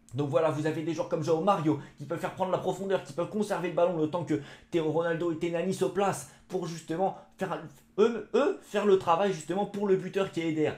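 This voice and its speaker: Talking fairly quickly, a man uses a high pitch. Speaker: football YouTuber. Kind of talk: football match debrief vlog. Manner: fast; animated.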